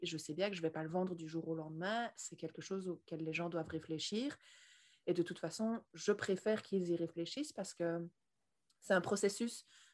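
A woman talks at a moderate pace, her fairly low voice showing ordinary pitch variation. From Belgium. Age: 20s. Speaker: leather goods entrepreneur. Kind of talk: interview. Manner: talkative.

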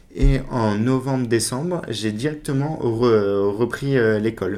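Fairly even intonation in a man's voice of medium pitch. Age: 20s. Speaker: para-cyclist and salesman. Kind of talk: interview. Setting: in his workplace.

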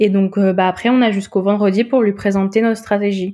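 A woman at medium pitch, fairly quick in pace, with fairly even intonation. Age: 20s. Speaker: communication student. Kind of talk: interview testimony. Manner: hesitant, many fillers.

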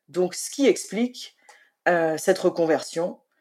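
This woman has a fairly low voice with a dark, mellow tone. She talks at a fairly slow pace. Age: 50s. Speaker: freelance writer, former civil servant. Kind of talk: interview conversation. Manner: hesitant, many fillers.

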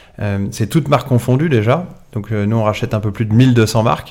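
With a plain, everyday voice, a man talks fairly quickly at a medium pitch, his pitch varying in an ordinary way. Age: 40s. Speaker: entrepreneur, founder of a second-hand collection company. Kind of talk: interview.

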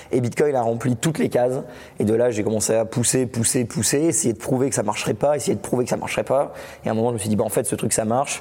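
A man at a very fast pace, medium pitch, with ordinary pitch variation. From France. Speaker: Bitcoin educator and YouTuber. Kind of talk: casual interview. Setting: at a conference in Biarritz.

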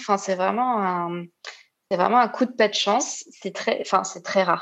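Fairly slowly, a woman talks with ordinary pitch variation. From Réunion. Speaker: nurse. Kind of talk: testimony. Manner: halting.

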